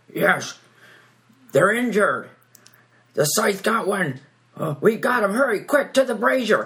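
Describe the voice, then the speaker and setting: Shouting in a put-on character voice at a fairly high pitch, the speaker keeps a moderate pace broken by long, frequent pauses. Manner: yelling.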